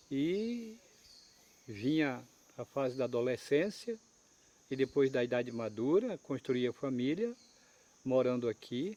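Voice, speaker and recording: A man's dark, mellow voice with lively intonation, a fairly slow pace, and long, frequent pauses. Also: medium pitch for a man. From Brazil, Acre (Amazon rubber-tapping region). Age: 70s. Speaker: rubber tapper community leader. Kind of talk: interview testimony.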